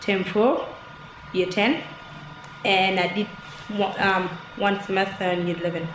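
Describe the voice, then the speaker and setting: A woman's monotone, flat delivery at very even loudness, with long, frequent pauses, audible room echo and noticeable background noise. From Egypt. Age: 20s. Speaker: student. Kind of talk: interview.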